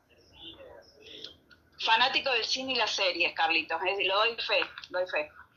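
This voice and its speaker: Over noticeable background noise, a woman with a fairly high pitch talks at a fairly slow pace, with very wide pitch swings and big swings in loudness. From Argentina. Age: 70s. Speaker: radio host. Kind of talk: casual chat.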